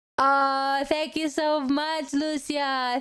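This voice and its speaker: Speaking very slowly with a non-native accent, a woman has a high voice. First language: not English. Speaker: streamer. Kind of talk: casual gameplay livestream chat. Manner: animated.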